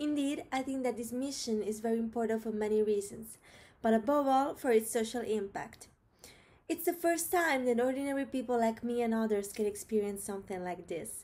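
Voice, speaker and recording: A woman with an Italian accent, fairly high in pitch and dark, mellow in tone, at a fairly quick pace with ordinary pitch variation. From Rome, Italy; Italy. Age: 20s. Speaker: biology student. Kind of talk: prepared video application. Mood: cheerful, eager. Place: home room. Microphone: webcam.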